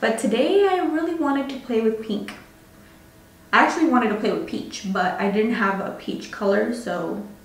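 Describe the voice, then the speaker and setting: A woman at a moderate pace, with audible room echo. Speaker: beauty vlogger. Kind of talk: tutorial. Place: home room.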